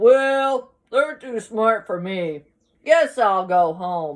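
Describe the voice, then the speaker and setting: Very slow delivery in a put-on character voice, its pitch fairly high. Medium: read story. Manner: growling, theatrical.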